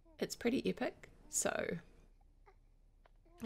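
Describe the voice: A woman's croaky voice with vocal fry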